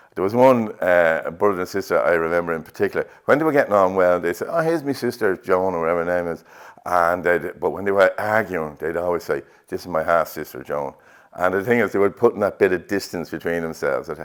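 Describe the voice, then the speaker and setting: In a Dublin accent, the speaker talks at a very fast pace with ordinary pitch variation. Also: man, very deep, low pitch for a man. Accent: Dublin Irish. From Ireland, north Dublin. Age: 60s. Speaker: painter. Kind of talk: interview. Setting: art exhibition. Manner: halting, with fillers.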